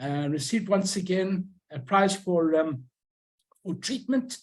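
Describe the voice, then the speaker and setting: Speaking at a fairly slow pace, a man with a Southern African accent uses lively intonation. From Rhodesia. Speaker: stamp collector and YouTuber. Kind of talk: lecture.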